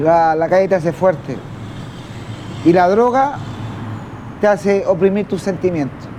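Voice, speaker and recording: A man with a high voice speaks at a fairly slow pace with ordinary pitch variation, leaving long, frequent pauses over noticeable background noise. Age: 40s. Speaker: homeless man in drug addiction. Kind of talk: testimony. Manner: halting.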